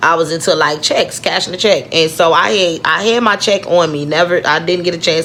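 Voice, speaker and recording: Over noticeable background noise, a woman with an American accent speaks at a moderate pace in an animated tone at a fairly low pitch. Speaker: vlogger. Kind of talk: personal storytelling vlog. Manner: halting.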